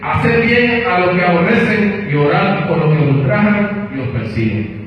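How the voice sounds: Lively intonation at a moderate pace, with strong room echo. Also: man, high pitch for a man.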